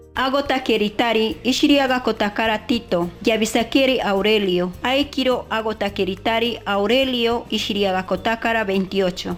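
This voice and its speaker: A woman with a fairly high pitch talks at a moderate pace against noticeable background noise. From Peruvian Amazon, Kirigueti. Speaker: teacher. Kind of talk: voice-over math lesson for children.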